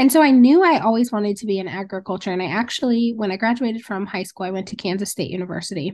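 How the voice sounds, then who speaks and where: Over a quiet background, a woman with an ordinary speaking voice talks fairly quickly at a medium pitch with lively intonation. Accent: American. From Montana. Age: 30s. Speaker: rancher and entrepreneur. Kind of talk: interview. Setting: video call.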